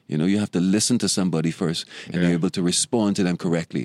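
A man's very deep, low voice in a Bahamian accent, very fast pace, ordinary pitch variation, dry, close sound with no echo. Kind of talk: casual interview chat.

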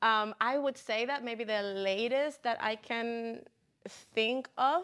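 A woman talks at a fairly slow pace with a Spanish accent. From Puerto Rico. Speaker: city council member. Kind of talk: panel discussion. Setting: studio.

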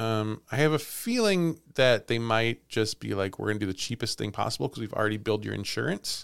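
A man's unremarkable speaking voice at a medium pitch, fairly quick in pace with hardly any pauses and ordinary pitch variation. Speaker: podcast host and storyteller. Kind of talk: casual chat with storytelling.

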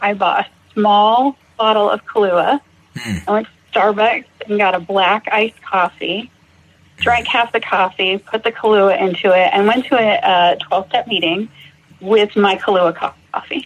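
A woman's fairly high-pitched voice, an ordinary speaking voice, with ordinary pitch variation at a fairly slow pace. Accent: American. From Massachusetts. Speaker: recovering alcoholic, nursing student. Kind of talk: personal testimony interview.

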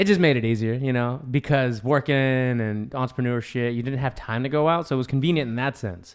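A man in a normal speaking voice talks at a medium pitch and a fairly quick pace, with ordinary pitch variation and hardly any pauses. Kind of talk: casual chat.

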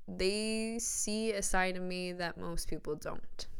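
A woman's voice carries audible room echo. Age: 20s. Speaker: podcast host and horse barn owner. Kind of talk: solo motivational monologue. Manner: casual, frequent laughter.

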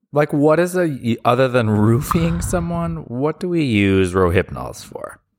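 A man's medium-pitched voice with very wide pitch swings, a fairly slow pace, and hardly any pauses. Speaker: podcast co-host. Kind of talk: casual chat.

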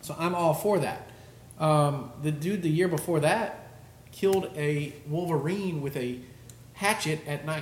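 Against noticeable background noise, a man speaks at a fairly high pitch and a fairly slow pace with ordinary pitch variation. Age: 40s. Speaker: hunting podcast host. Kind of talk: casual chat.

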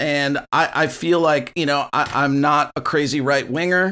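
It is an ordinary speaking voice at a fairly slow pace. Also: man, very clean recording, silent background. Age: 50s. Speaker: podcast host, music school owner. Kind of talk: solo rant. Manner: casual, with fillers.

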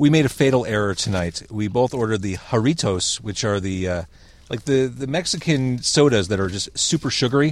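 A man with a plain, everyday voice speaks at a fairly quick pace in a medium pitch with lively intonation, on a very clean recording with a silent background. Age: 40s. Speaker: podcast host. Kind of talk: casual interview. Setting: parked car.

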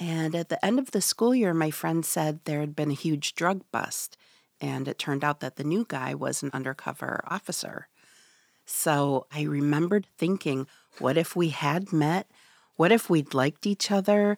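In a very clean recording with a silent background and a dry, close sound with no echo, a woman with an American accent speaks at a moderate pace, her very deep, low pitch showing ordinary variation. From Michigan's Upper Peninsula, Ojibwe community. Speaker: author. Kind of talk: interview. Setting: studio.

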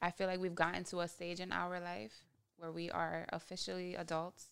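This is a woman's voice. Her pitch is fairly low. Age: 20s. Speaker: podcast co-host. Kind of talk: casual chat.

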